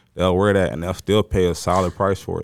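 Very fast, a man speaks in a very deep, low pitch on a very clean recording with a silent background. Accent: American. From Dallas area, Texas. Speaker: shoe store owner. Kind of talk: casual interview.

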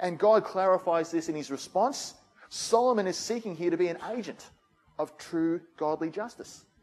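A man speaks in an Australian accent at a high pitch. His pace is moderate and his pitch variation ordinary. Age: 40s. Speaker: pastor. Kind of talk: sermon.

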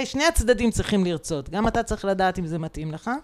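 A woman speaks at a fairly quick pace in a dark, mellow tone. Her pitch swings very widely. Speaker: HR director. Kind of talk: interview.

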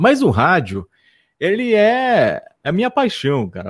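A man's voice with very wide pitch swings, dry and close with no echo, in a very clean recording over a silent background. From Amazonas interior, Brazil (Barreirinha). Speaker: radio host. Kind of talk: casual interview chat.

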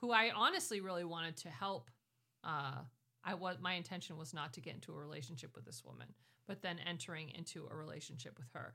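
Very fast, lively speech from a woman with a fairly low pitch, a bright, sharp tone and vocal fry. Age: 40s. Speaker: pastor and ministry director. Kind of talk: interview, personal testimony.

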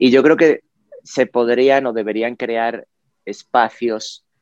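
A man's voice comes through dry and close with no echo, his intonation fairly even over a quiet background. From Spain, Cáceres (Extremadura). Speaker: designer and educator. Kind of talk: interview. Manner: hesitant, many fillers.

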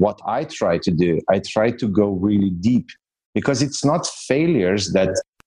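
Here a man talks with a Slovenian accent and a fairly low pitch. His pitch swings very widely. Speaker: entrepreneur and coach. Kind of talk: interview.

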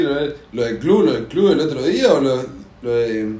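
A man is speaking in a room with audible echo. Noticeable background noise is also present. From Argentina. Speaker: podcast host. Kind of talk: casual chat.

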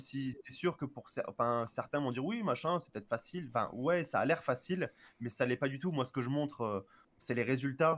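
A man with a plain, everyday voice, fairly high in pitch with ordinary pitch variation, at a moderate pace. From Marseille, France. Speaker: voice dubber and Japanese teacher. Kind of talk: casual chat. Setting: live stream.

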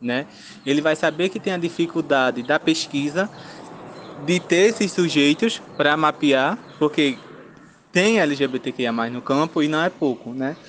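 At a fairly slow pace, the speaker uses ordinary pitch variation and leaves long, frequent pauses. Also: man, fairly high pitch for a man. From Pernambuco, Zona da Mata Sul, Brazil. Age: 20s. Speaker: agroecology technician and research intern. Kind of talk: interview. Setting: remote call. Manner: casual, filler-heavy.

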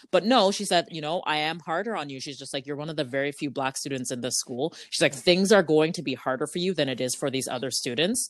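A woman with a Canadian accent speaks very fast with hardly any pauses, her very deep, low voice carrying lively intonation and big swings in loudness. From Canada (Ajax, Ontario). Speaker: podcast guest, host's sister. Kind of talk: casual chat.

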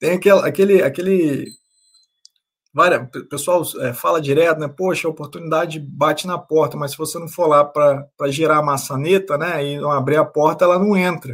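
A plain, everyday voice from a man with a fairly high pitch at a moderate pace. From Brazil, interior of Rio de Janeiro state. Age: 30s. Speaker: personal finance content creator. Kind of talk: casual interview chat.

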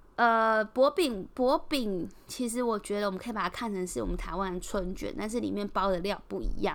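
With a strong Taiwanese accent and a medium pitch, a woman talks with hardly any pauses in a very clean recording with a silent background. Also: ordinary pitch variation, moderate pace. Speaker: podcast host. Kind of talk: casual solo podcast monologue. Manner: hesitant, many filler sounds.

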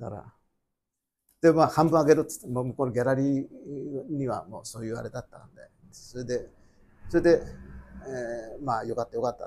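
A man's medium-pitched, somewhat breathy voice at a fairly quick pace, with ordinary pitch variation and big swings in loudness. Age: 70s. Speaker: company founder, photographer's son. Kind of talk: talk show conversation. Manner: halting.

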